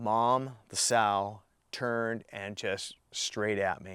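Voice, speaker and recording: On a very clean recording with a silent background, a man speaks very slowly at a medium pitch with fairly even intonation. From Idaho. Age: 60s. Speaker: hunter, bear attack survivor. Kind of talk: testimony.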